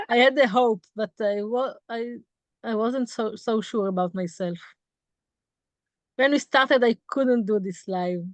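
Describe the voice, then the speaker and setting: With an Israeli accent, a woman speaks at a fairly high pitch with ordinary variation. Long, frequent pauses break up her speech. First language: Hebrew. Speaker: tour guide. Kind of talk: interview. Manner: halting.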